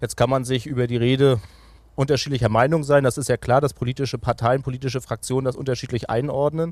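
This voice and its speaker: Very fast and monotone, a man speaks at medium pitch with flat intonation on a very clean recording with a silent background. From Mecklenburg-Vorpommern, Greifswald. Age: 30s. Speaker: regional party leader and politician. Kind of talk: political interview.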